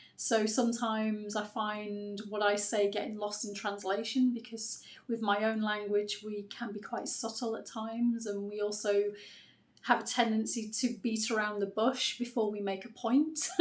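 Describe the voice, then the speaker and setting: A woman's fairly high, monotone voice with flat intonation, in a British accent, with audible room echo. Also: moderate pace. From UK. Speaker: writer and content creator. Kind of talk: unscripted vlog monologue. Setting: unedited one-take video.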